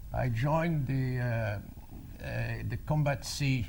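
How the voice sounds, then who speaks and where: A man with a French accent speaks at a medium pitch with ordinary pitch variation and a somewhat breathy voice, and audible room echo surrounds him. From France. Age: 80s+. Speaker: war veteran. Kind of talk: talk to an audience. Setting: stage with audience. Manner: halting.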